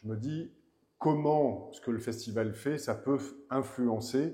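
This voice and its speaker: Through audible room echo, a man's somewhat breathy voice carries a dark, mellow tone and ordinary pitch variation. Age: 60s. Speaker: director of a cultural venue and festival. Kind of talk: interview. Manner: halting, with many repetitions and fillers.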